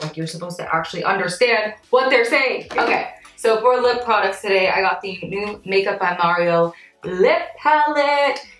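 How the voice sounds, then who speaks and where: There is noticeable background noise. Through it, a woman speaks with lively intonation. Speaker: beauty YouTuber and freelance makeup artist. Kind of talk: makeup tutorial.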